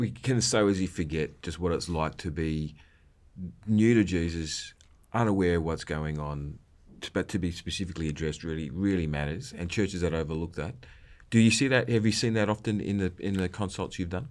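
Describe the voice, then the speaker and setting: With an Australian accent, a man with a very deep, low voice talks fairly quickly, his pitch varying in an ordinary way. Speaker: podcast co-host. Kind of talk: casual conversational podcast discussion.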